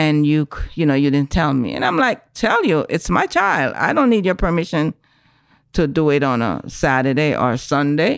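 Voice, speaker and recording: A woman speaks at a moderate pace in a very deep, low pitch. Her intonation is lively and her loudness stays very even. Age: old. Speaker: podcast guest, host's mother. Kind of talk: casual chat.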